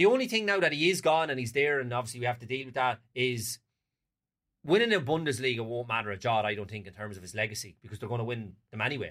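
Talking very fast in an Irish accent, a man at medium pitch uses lively intonation and big swings in loudness. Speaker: football pundit. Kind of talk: casual chat. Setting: studio.

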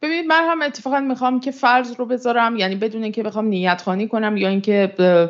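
A woman with a fairly high pitch speaks at a very fast pace, with hardly any pauses. Her intonation is lively. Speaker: international affairs editor and analyst. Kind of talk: in-depth political analysis discussion. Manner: formal.

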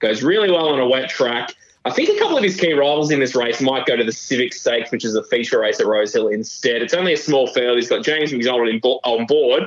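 A man with an Australian accent talks very fast with hardly any pauses and very even loudness. Noticeable background noise runs underneath. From New South Wales, Australia. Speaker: horse racing tipster. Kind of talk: casual chat.

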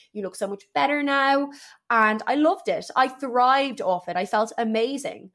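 A woman in a Dublin accent, her intonation lively. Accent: Irish (Dublin). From Ireland, Dublin. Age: 20s. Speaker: personal trainer and gym owner. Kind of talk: solo personal storytelling podcast. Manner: chatty, talkative.

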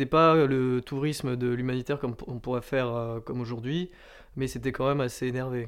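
A man at a moderate pace, medium-pitched, with flat, monotone intonation. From France, Landes (southwest). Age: 20s. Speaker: student political activist. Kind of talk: interview. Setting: at home over a beer. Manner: hesitant with fillers.

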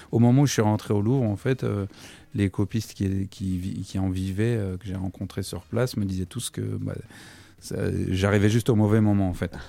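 Long, frequent pauses break up this man's moderate-paced speech, his fairly low, dark, mellow voice keeping a fairly even intonation. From Paris region (Versailles). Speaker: painter and art restorer. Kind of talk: casual radio interview. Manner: hesitant, many fillers.

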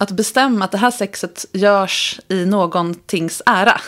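The woman's voice has a medium pitch. She talks at a very slow pace. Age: 40s. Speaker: sex coach. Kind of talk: casual chat. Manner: animated.

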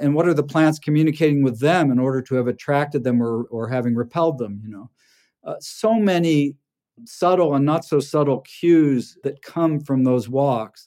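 A man speaks with a dark, mellow tone. His pitch sits fairly high and varies in an ordinary way. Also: moderate pace, very clean recording, silent background. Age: 60s. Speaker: farmer. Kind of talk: interview conversation, reflective. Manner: reflective, hesitant.

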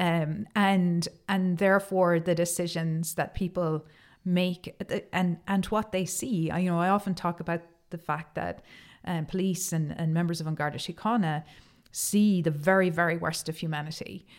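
A woman with a Cork accent speaks in a flat monotone, recorded very cleanly over a silent background. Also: fairly low pitch for a woman, moderate pace. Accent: Cork Irish. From Ireland, Cork. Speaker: tech company executive. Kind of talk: interview.

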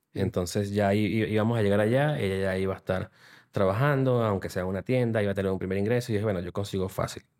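On a very clean recording with a silent background, a man with a Venezuelan accent speaks very fast at a fairly low pitch with fairly even intonation. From Venezuela, city. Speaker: digital transformation consultant. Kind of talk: interview. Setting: studio.

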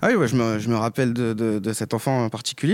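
This man talks at a very fast pace. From rural France, Haute-Marne. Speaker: primary school teacher. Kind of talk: interview testimony. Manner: hesitant, repeats words.

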